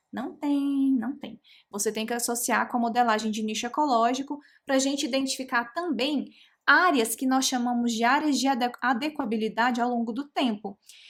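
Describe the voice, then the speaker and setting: Fairly even intonation shapes this woman's high-pitched voice. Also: moderate pace. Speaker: genetics educator. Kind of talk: live online lecture.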